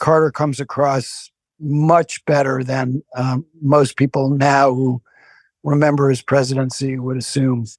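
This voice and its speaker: A man's medium-pitched voice with an American accent, flat and monotone, at a fairly slow pace, on a very clean recording with a silent background. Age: 60s. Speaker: author and political analyst. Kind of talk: interview. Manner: halting, many fillers.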